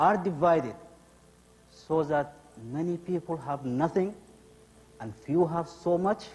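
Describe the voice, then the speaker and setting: With a non-native accent, a man speaks at a fairly slow pace in a fairly high voice, leaving long, frequent pauses. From abroad, studied in Russia. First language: not English. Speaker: immigrant telling his story in a play. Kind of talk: theatrical monologue.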